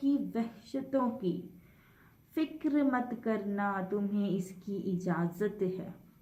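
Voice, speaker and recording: Here a woman has a normal speaking voice and lively intonation. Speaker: poet. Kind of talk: poetry reading.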